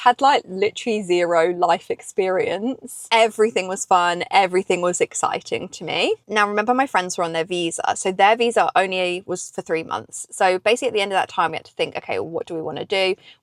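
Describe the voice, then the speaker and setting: A woman with a British accent speaks at a fairly quick pace and a medium pitch, with ordinary pitch variation. Her loudness swings widely, and the sound is dry and close with no echo. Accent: British, unchanged after ten years in US. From England. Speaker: vlogger. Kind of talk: casual chat. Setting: in a parked car.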